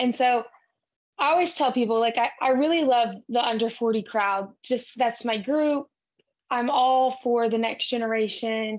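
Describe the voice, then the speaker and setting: A woman's high-pitched voice with a Texan accent, at a fairly slow pace, with fairly even intonation and very even loudness. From South Texas. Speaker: ranch-raised cattle association manager and podcaster. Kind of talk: casual interview.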